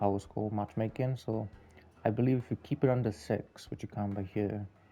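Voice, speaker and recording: Over background music, a man speaks quietly in a fairly low, flat monotone at a moderate pace. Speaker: gaming video creator. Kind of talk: gameplay commentary. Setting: home, late at night. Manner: quiet, subdued.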